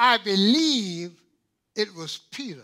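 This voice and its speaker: A raised, projected voice with a bright, sharp tone moves at a very slow pace through very wide pitch swings. The recording is very clean, with a silent background. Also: man. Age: 90s. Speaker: pastor. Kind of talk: sermon. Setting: church. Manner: animated.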